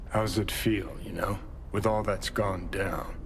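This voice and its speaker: Against clear background noise, a man puts on a gruff character voice, fairly low in pitch and fairly slow. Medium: video game. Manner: gruff, profane, clipped.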